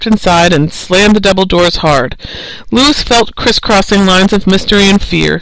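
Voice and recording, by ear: Someone reads aloud in a natural voice, and the pitch shifts in an ordinary way.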